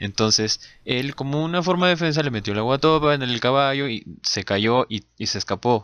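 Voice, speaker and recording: The man has an unremarkable speaking voice, and his pitch varies in an ordinary way. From Peru. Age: 30s. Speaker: podcast co-host. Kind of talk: casual chat.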